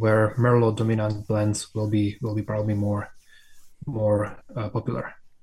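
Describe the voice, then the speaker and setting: Somewhat breathy, a man of medium pitch speaks with a Slovak accent. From Slovakia. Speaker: winemaker. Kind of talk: casual chat.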